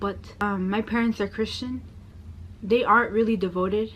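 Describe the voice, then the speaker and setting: A woman with an American accent, a fairly high pitch, fairly even intonation and a somewhat breathy quality. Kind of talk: personal testimony vlog. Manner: casual, with many fillers.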